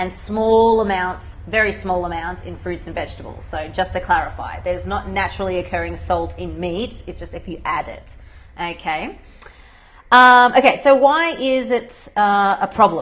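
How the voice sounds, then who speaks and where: A woman with an Australian accent speaks at a moderate pace, her loudness swinging widely. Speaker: dietitian. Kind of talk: live Q&A livestream. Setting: livestream video broadcast. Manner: casual, conversational with fillers.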